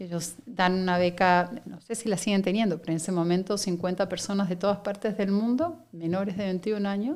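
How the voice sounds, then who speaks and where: Speech with an Argentine accent comes at a moderate pace with hardly any pauses. The intonation stays fairly even. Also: woman, medium pitch for a woman. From Argentina, Buenos Aires. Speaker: company director. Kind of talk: interview conversation.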